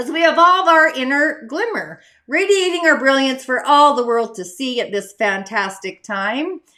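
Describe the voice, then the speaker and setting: On a very clean recording with a silent background, a woman speaks in a raised, projected voice at a moderate pace, high-pitched and animated, with a bright, sharp tone, very wide pitch swings and hardly any pauses. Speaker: spiritual life coach and show host. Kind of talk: casual spiritual show monologue.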